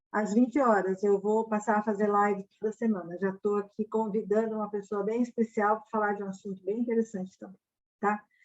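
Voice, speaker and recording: A woman with a plain, everyday voice at medium pitch, fairly quick, with big swings in loudness. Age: 60s. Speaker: financial education mentor. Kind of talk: live stream Q&A. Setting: online live stream. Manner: casual, filler-heavy.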